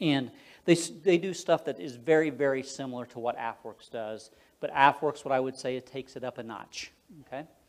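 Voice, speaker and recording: Speaking at a fairly quick pace, a man with an unremarkable speaking voice keeps a medium pitch with ordinary pitch variation while his loudness swings widely. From Florida. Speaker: defense innovation director. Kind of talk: talk with slides. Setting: club meeting with audience.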